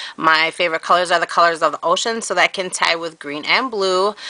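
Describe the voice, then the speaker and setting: A woman with a plain, everyday voice at a medium pitch, ordinary pitch variation, and a dry, close sound with no echo. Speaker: vlogger. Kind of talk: casual video blog.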